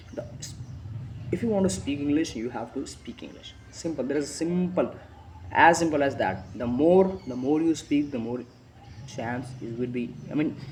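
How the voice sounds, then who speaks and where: At a moderate pace, a man with a fairly high voice uses lively intonation and takes long, frequent pauses. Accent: Indian. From India. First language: Hindi. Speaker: motivational speaker. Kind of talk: motivational talk. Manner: halting, with frequent restarts; emphatic.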